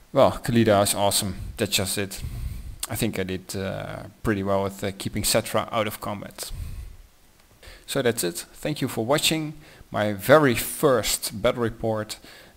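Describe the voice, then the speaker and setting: This man speaks with a Dutch accent at a fairly low pitch. His pitch varies in an ordinary way, and his pace is moderate. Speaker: tabletop wargaming hobbyist. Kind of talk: battle report narration. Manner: halting, many fillers.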